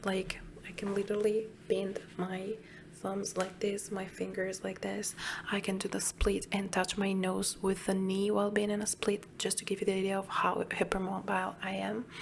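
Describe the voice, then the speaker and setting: A woman whispers at a moderate pace. Her delivery is soft-spoken. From Italy, Emilia-Romagna. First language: Italian. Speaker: ASMR YouTuber. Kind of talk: soft-spoken Q&A chat. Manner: whispering.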